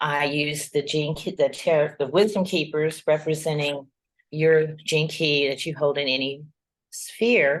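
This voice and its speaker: Speaking at a fairly slow pace with fairly even intonation, a woman with an American accent has a very deep, low pitch. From US South, Georgia. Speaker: tarot reader and spiritual guide. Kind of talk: interview conversation.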